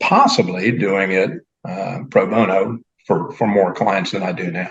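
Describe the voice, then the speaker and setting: Speaking at a fairly slow pace, a man with a normal speaking voice keeps a fairly low pitch and fairly even intonation. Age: 60s. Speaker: business consultant. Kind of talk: interview answer.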